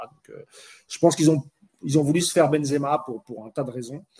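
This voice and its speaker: A man's fairly high-pitched voice. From France, Moroccan heritage. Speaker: football podcast host. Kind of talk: casual chat. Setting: live stream.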